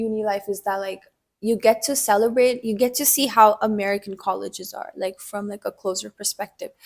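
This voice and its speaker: A woman speaks in an unremarkable speaking voice, fairly high, at a moderate pace with fairly even intonation. The recording is very clean, with a silent background. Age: 20s. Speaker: university student. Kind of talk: casual interview. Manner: filler-heavy casual speech.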